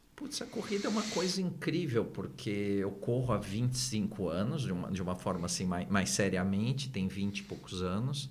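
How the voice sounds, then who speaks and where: This man has a fairly low pitch and very wide pitch swings, speaking at a moderate pace with hardly any pauses. Noticeable background noise and audible room echo are present. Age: 60s. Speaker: therapist and neurolinguistic programming trainer. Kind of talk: podcast interview.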